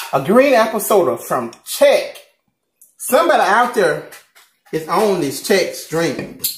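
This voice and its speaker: A man speaks with a Southern US accent at a fairly slow pace. He leaves long, frequent pauses. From Southern United States. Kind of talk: casual mukbang talk to camera. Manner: upbeat, chatty.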